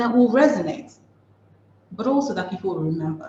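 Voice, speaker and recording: Somewhat breathy, the woman's voice has a dark, mellow tone. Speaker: communications consultant. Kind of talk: webinar presentation. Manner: fast.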